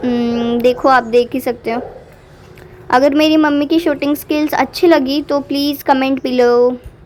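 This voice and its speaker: A woman's high, animated voice with ordinary pitch variation over noticeable background noise. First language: Marathi (speaking Hindi). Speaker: vlogger. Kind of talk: vlog voiceover commentary.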